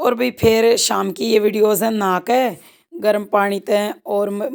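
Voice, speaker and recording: In a Haryanvi accent, a woman of medium pitch talks at a very slow pace with fairly even intonation. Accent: Haryanvi-accented Hindi. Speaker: rural vlogger, housewife. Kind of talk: casual vlog narration.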